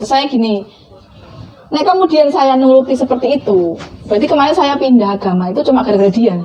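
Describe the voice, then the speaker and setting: With a Javanese accent, a woman talks at a very fast pace in a high voice with lively intonation. Noticeable background noise sits behind her. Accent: Javanese-accented Indonesian. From Central Java (Blora), Indonesia. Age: 30s. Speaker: convert telling her story. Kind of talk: testimony interview. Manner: casual, with fillers.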